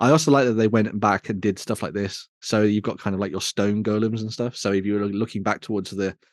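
With a West Midlands accent, a man talks at a very fast pace and fairly low pitch, in a dry, close sound with no echo against a quiet background. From West Midlands, England. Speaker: tabletop wargaming show host. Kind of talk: casual chat.

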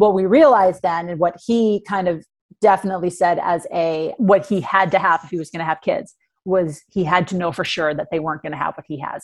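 A woman with an American accent and an unremarkable speaking voice, fairly quick in pace, with ordinary pitch variation, in a very clean recording over a silent background. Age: 40s. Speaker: life coach. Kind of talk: interview.

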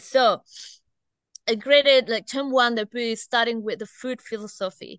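In an Indonesian accent, a woman speaks at a fairly slow pace with a fairly high pitch, a bright, sharp tone and fairly even intonation, in a dry, close sound with no echo against a quiet background. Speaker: teacher. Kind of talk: casual interview. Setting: outdoors.

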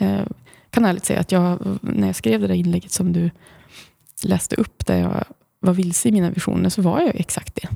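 A woman is speaking. She moves at a fairly quick pace. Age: 40s. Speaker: blogger and author. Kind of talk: casual interview. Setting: studio.

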